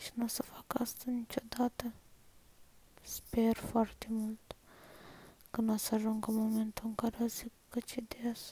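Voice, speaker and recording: With long, frequent pauses, a woman speaks at a fairly slow pace in a somewhat breathy, dark, mellow tone, her fairly high pitch held in a monotone, flat intonation. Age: 20s. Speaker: person recording a personal voice diary. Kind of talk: personal confessional monologue. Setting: at home, lying in bed. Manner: soft-spoken, quiet so others at home won't hear.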